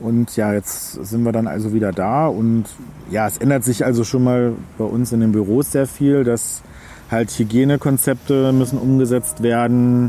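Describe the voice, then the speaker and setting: Over noticeable background noise, a man speaks with a medium pitch, fairly even intonation and a moderate pace. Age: 30s. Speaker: travel agent. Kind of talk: casual interview. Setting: outdoors.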